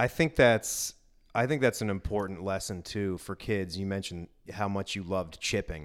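An ordinary speaking voice belongs to a man with an American accent and a fairly low pitch. He keeps a moderate pace and ordinary pitch variation on a very clean recording with a silent background. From Northern Virginia. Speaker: sports podcast host. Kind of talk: casual interview.

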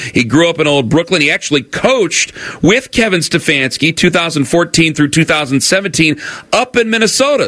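A man has a plain, everyday voice, pitched fairly high, with lively intonation and very even loudness. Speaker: radio host. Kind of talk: radio show play-by-play style preview banter. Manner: polished, upbeat, broadcaster delivery.

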